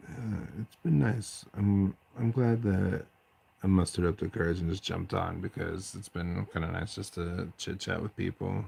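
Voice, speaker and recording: An American-accented man speaks at a moderate pace in a very deep, low pitch, his dark, mellow tone somewhat breathy and his pitch variation ordinary. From eastern Washington, US. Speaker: hobby streamer. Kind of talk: casual chat.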